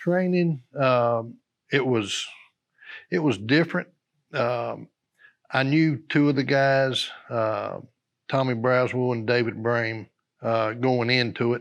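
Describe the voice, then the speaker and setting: In a North Carolina accent, a man speaks at a very slow pace with long, frequent pauses. His pitch is medium with ordinary variation, and the background is quiet. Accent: Southern US (North Carolina). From North Carolina, US South. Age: 60s. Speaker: retired fire captain. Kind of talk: oral history interview. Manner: halting, many fillers.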